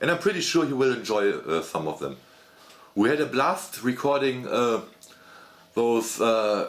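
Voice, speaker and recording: A man with a German accent speaks at a medium pitch with very wide pitch swings. His pace is fairly slow, with long, frequent pauses. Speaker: gaming YouTuber. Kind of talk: casual channel update monologue. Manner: halting, many fillers and repetitions.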